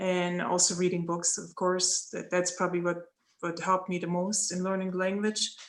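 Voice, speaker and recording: A woman with a German accent speaks at a medium pitch. Her intonation is monotone and flat, and the background is quiet. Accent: German accent, lasting. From East Germany. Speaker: former Olympic athlete, guest speaker. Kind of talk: Q&A talk to students. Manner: hesitant, many fillers and restarts.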